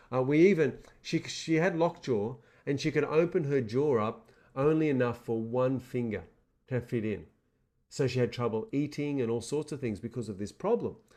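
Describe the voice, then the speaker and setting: Over a quiet background, a man with an Australian accent speaks at a moderate pace with lively intonation, a dark, mellow tone and a medium pitch. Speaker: seminar presenter. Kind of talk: motivational webinar talk. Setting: webinar.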